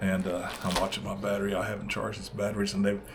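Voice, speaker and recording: A man with a Southern US accent talks at a very fast pace, with audible room echo around him. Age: 60s. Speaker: fishing channel host. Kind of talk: casual video vlog. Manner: halting, many fillers.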